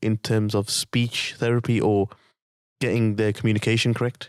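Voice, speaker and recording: In a very clean recording with a silent background, a man with a medium pitch speaks at a moderate pace, the sound dry and close with no echo. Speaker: boxing coach and podcast host. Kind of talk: podcast interview.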